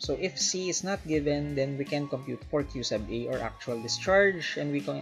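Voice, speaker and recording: A moderate pace with faint music in the background. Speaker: engineering instructor. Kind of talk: lecture.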